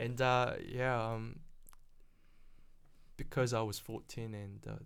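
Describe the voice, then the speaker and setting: A man at a medium pitch, very slow pace and fairly even intonation, with audible room echo. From South Korea, then New Zealand from age 14. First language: Korean. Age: 30s. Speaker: property investor. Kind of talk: casual interview.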